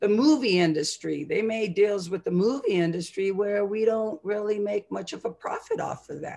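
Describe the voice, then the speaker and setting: A woman's voice has a dark, mellow tone and hardly any pauses. The background is quiet. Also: ordinary pitch variation, moderate pace. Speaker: university educator. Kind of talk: panel discussion. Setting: video call. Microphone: video call.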